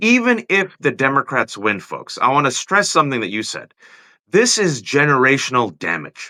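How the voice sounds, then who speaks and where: This man's fairly high voice has a bright, sharp tone, vocal fry and very wide pitch swings. The recording is very clean, with a silent background. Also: moderate pace, dry, close sound with no echo. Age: middle-aged. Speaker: political talk show host. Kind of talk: casual political conversation. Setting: live video stream.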